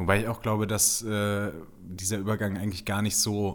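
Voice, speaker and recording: Recorded very cleanly against a silent background, a man speaks at a moderate pace with a fairly low pitch and monotone, flat intonation. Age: 20s. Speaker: PR consultant. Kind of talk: casual interview.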